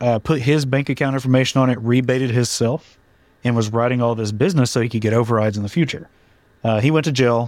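Very fast speech from a man with an American accent, medium in pitch, with fairly even intonation. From Oklahoma. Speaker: insurance agent. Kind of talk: casual chat.

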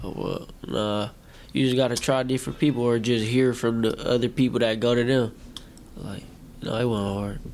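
This is an ordinary speaking voice, a man's at medium pitch with an American accent. He keeps a moderate pace and fairly even intonation. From Milwaukee, Wisconsin. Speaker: rapper. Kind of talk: casual interview.

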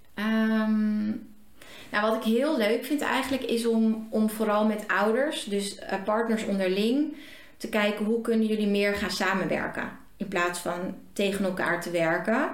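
Speech at a fairly slow pace with ordinary pitch variation comes through noticeable background noise and audible room echo. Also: woman, fairly high pitch for a woman. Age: 30s. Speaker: parenting coach and business coach. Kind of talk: interview.

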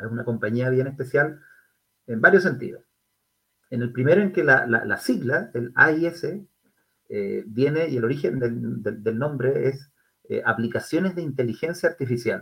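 A bright, sharp tone in a Chilean accent, with ordinary pitch variation, a fairly slow pace and long, frequent pauses. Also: man, medium pitch for a man. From Chile, Concepción. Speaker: tech company executive. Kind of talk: interview.

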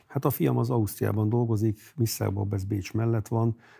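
A man's fairly low, dark, mellow voice, somewhat breathy and fairly quick, with ordinary pitch variation on a very clean recording with a silent background. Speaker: mayor and cardiologist. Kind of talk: political interview. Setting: studio.

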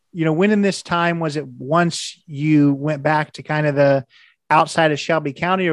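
Against a quiet background, a man with an American accent speaks at a moderate pace, his pitch fairly high and intonation fairly even. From Indiana. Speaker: podcast host. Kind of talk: interview.

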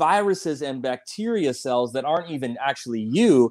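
Here a man speaks with a plain, everyday voice. His intonation is lively and his pace moderate. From US Midwest, South Dakota. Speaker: chiropractor and author. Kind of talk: interview.

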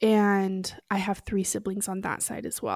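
A woman with an American accent at a very slow pace, her intonation monotone and flat, in a dry, close sound with no echo on a very clean recording with a silent background. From US West, Oregon. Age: 30s. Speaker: podcast guest sharing recovery story. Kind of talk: testimony.

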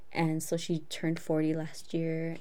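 A woman speaks in a dark, mellow tone at a fairly low pitch. Room echo is audible. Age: 20s. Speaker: podcast co-host. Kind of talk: casual chat. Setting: video call.

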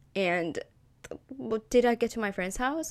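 A woman's voice with vocal fry and very wide pitch swings at a moderate pace. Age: 20s. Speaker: podcaster. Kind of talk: casual monologue. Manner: animated.

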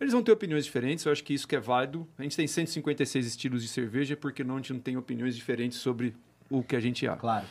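The pitch of this man's voice is medium. He rushes along at a very fast pace. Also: ordinary pitch variation. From Brazil, Campinas (São Paulo state). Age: 20s. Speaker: craft brewer and entrepreneur. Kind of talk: casual chat.

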